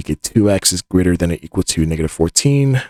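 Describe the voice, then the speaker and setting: Very wide pitch swings mark this fairly quick delivery, with a dry, close sound and no echo. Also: man. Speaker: math tutor. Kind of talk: tutorial. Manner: fast; casual.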